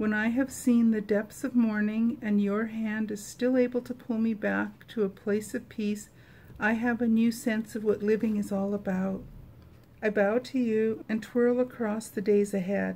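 At a fairly slow pace, a woman speaks in a somewhat breathy, fairly high voice with a dark, mellow tone and monotone, flat intonation. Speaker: prayer video creator. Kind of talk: fervent personal prayer after scripture reading. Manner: heartfelt, earnest, devotional. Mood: calm, gentle, devotional. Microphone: phone near.

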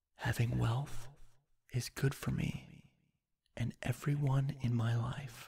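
Slow to the extreme, a man talks with long, frequent pauses, monotone, flat intonation and a somewhat breathy, dark, mellow voice in a soothing, calm tone. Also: medium pitch for a man. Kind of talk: guided meditation. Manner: slow, soothing, calm.

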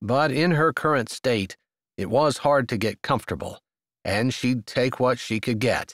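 In a very clean recording with a silent background and a dry, close sound with no echo, a man with a normal speaking voice talks at a fairly slow pace and a medium pitch. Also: ordinary pitch variation. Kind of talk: audiobook reading of a romance novel, narration with character dialogue.

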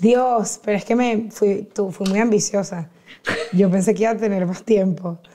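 At a moderate pace, a woman speaks with fairly even intonation over light background noise. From Venezuela, Caracas. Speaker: podcaster and comedian; podcast guest. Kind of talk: casual chat. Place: studio. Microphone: lapel.

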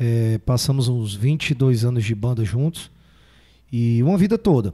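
In a very clean recording with a silent background, a man speaks in a dark, mellow, somewhat breathy tone at medium pitch with ordinary pitch variation. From Fortaleza, Ceará, Brazil. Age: 40s. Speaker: forró singer. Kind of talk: casual chat.

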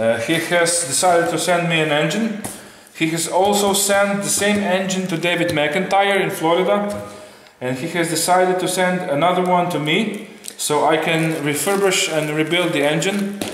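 Audible room echo and light background noise surround a man with a high pitch. He talks at a moderate pace with ordinary pitch variation. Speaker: channel host. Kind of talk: casual vlog chat. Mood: cheerful, laughing. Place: workshop. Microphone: camera far.

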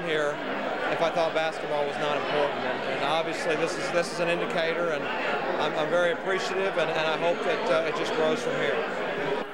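A man speaks fairly quickly against loud background noise. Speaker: new basketball coach. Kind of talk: interview answer. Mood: appreciative, humble. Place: bar. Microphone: handheld.

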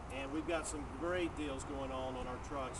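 A man keeps a moderate pace while loud noise fills the background. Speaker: car dealership weather presenter. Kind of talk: casual outdoor weather report mixed with a sales pitch. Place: street. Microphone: phone near.

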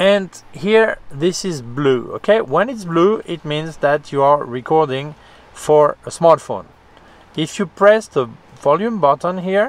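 This man's high voice, delivered at a fairly slow pace, sounds dry with no echo. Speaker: product reviewer. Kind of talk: product review tutorial. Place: car.

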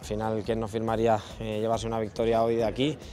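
A man talks at a very fast pace over light background noise. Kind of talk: interview answer. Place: hall. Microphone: handheld.

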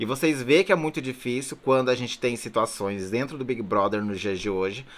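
A man in an animated tone. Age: 20s. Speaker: YouTuber, reality show commentator. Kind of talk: casual vlog commentary. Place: home room. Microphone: phone near.

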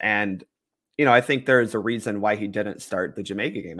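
Heard on a very clean recording with a silent background, a man speaks at a fairly low pitch in a bright, sharp tone. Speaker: soccer podcaster. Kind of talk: casual chat.

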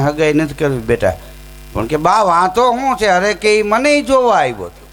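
The voice belongs to a man with a high pitch. Lively intonation runs through his speech. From Saurashtra, Gujarat. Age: 40s. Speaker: folk humorist and storyteller. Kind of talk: comic storytelling at devotional program.

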